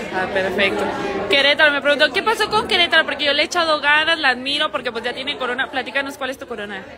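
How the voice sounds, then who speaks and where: At a very fast pace, a woman talks with high pitch and lively intonation, with noticeable background noise behind her. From Mexico, Jalisco (El Salto). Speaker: pageant livestream host, former beauty queen. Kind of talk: casual live-stream chat. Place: cafe. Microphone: phone near.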